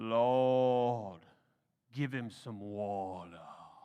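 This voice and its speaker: A man uses a put-on character voice at a medium pitch with ordinary pitch variation. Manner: praying, loud enough to carry.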